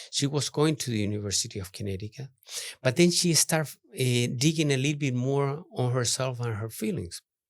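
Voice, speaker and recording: Against a quiet background, a man speaks at medium pitch. His pitch variation is ordinary. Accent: non-native. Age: 60s. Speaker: artist. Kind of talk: podcast interview. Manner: halting.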